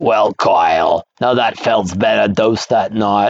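A man puts on a raspy character voice. He speaks at a fairly low pitch and a fairly slow pace. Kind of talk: comic overacting of a badly written fan story.

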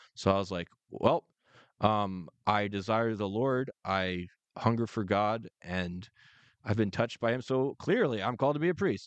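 A man talks with a fairly low pitch in an ordinary speaking voice with ordinary pitch variation. The sound is dry and close with no echo, and the background is quiet. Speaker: co-host. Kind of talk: faith-based podcast discussion.

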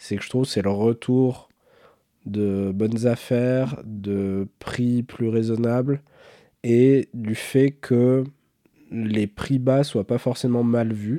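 A man speaks at a very slow pace in a dark, mellow tone. The sound is dry and close with no echo, on a very clean recording with a silent background. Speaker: watch podcast co-host. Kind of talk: casual chat.

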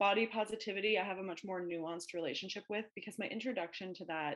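In a Canadian accent, a woman with a plain, everyday voice speaks at a medium pitch and a fairly quick pace, with ordinary pitch variation. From Ontario, Canada (Ajax, near Toronto). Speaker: social worker and therapist. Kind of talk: casual interview chat.

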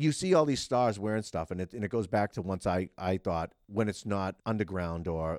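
A man with a Boston accent talks in a very deep, low pitch with ordinary pitch variation. The sound is dry and close with no echo, the recording very clean with a silent background. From Massachusetts. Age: 40s. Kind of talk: casual chat. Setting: office at the state house.

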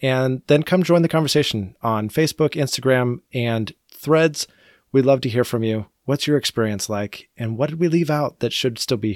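In a very clean, dry recording with close sound, no echo and a silent background, a man uses a normal speaking voice at medium pitch with ordinary pitch variation. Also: moderate pace. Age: 40s. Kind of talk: casual chat.

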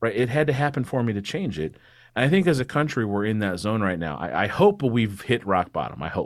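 Very fast speech comes from a man with an American accent, his pitch swinging very widely. The recording is very clean, with a silent background. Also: medium pitch for a man. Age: 30s. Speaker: attorney and political podcast host. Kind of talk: casual interview.

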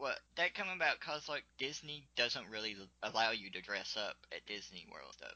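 A man with a Southern US accent talks at a moderate pace, with very wide pitch swings, big swings in loudness, and vocal fry. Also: fairly high pitch for a man. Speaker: podcast interviewer. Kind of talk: casual interview chat. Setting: video or phone call.

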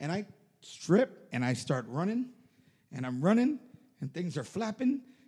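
A man's high-pitched voice with a dark, mellow tone and very wide pitch swings. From Puerto Rico. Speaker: podcast co-host. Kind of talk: casual chat.

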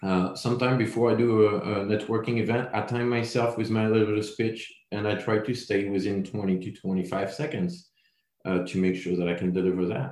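A man speaks with a French accent at a fairly low pitch. His pitch varies in an ordinary way. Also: moderate pace. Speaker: building products sales representative. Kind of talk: interview podcast.

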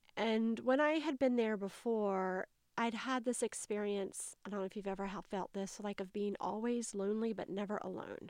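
A woman talks in a Southern US accent at a medium pitch. The recording is very clean, with a silent background. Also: ordinary pitch variation, moderate pace, hardly any pauses. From US South, North Carolina. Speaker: public health worker, memoirist. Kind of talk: casual interview, personal storytelling.

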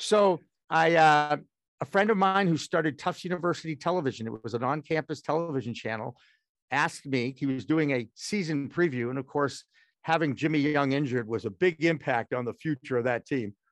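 Over a quiet background, a man with an American accent speaks in a normal speaking voice at a fairly quick pace, with fairly high pitch and ordinary pitch variation. The sound is dry and close with no echo. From Massachusetts, Boston area. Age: 60s. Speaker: former sportscaster, media founder. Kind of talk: interview.

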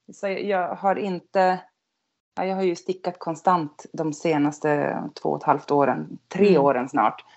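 Her intonation lively, a woman speaks at a medium pitch and a fairly slow pace. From northern Sweden (Norrland, near Skellefteå). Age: 50s. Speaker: knitter. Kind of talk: casual chat.

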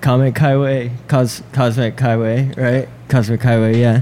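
A man's medium-pitched, monotone voice with flat intonation at a fairly slow pace, with noticeable background noise. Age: 20s. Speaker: keyboard player. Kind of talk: casual chat.

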